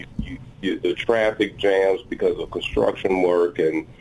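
Noticeable background noise runs under the recording. A man speaks at a moderate pace with an American accent. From Illinois. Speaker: county judge. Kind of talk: radio interview.

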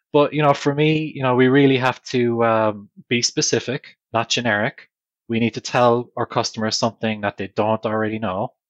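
Dry and close with no echo, a man's medium-pitched voice moves at a moderate pace with fairly even intonation. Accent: Irish. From Ireland. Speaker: technology leading practices director. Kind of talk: casual interview.

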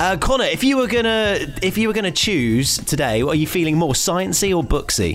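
With music in the background, a high-pitched man speaks at a fairly quick pace, his pitch swinging very widely while his loudness stays very even. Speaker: podcast host. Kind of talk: casual chat.

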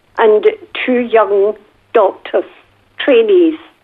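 A very slow woman's voice, high-pitched, with lively intonation. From Scotland, Glasgow. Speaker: retired nurse and missionary, author. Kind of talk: interview, personal testimony. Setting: recorded at her home.

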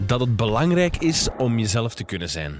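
On a very clean recording with a silent background, a man speaks in an animated tone with very wide pitch swings. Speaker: podcast host. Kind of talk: casual chat; scripted outro. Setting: indoors, sitting on a couch.

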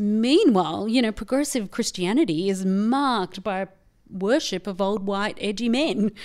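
In an Australian accent, a woman speaks at a moderate pace. Her voice sits at a medium pitch with ordinary pitch variation. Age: 40s. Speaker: feminist theologian. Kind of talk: casual chat. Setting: studio.

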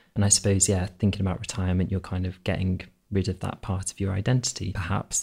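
A man talks very fast in a very deep, low voice with a dark, mellow tone. He is somewhat breathy and flat in a monotone, on a very clean recording with a silent background. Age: 30s. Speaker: civil servant, policy advisor. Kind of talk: casual chat.

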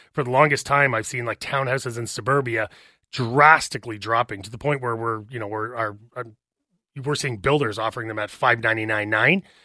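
Against a quiet background, a man with a Canadian accent speaks fairly quickly at a medium pitch, with fairly even intonation, in a normal speaking voice. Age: 40s. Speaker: real estate agent. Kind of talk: casual chat. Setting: studio.

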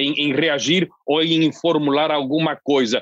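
A man with a plain, everyday voice, fairly high-pitched, at a fairly slow pace, dry and close with no echo. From southern Brazil (Londrina, Paraná). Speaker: foreign correspondent journalist. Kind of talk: interview discussion.

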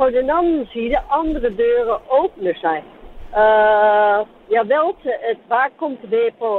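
The man's voice is extremely high-pitched, with ordinary pitch variation. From Netherlands. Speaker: caller, lorry driver. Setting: phone call.

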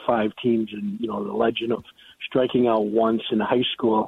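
Speaking at a fairly quick pace, a man has a normal speaking voice and medium pitch. He talks with an American accent. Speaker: former high school coach. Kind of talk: recorded interview.

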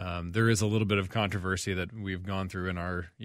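Talking very fast, a man with an American accent has a very deep, low pitch and fairly even intonation. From US South (Franklin, Tennessee). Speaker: urologist. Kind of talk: radio call-in discussion. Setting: radio studio.

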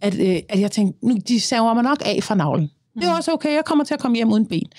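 A plain, everyday voice with lively intonation at a fairly quick pace, dry and close with no echo, on a very clean recording with a silent background. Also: woman. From Denmark, Copenhagen (Østerbro). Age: 30s. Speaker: singer and social media creator. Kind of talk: interview, personal conversation.

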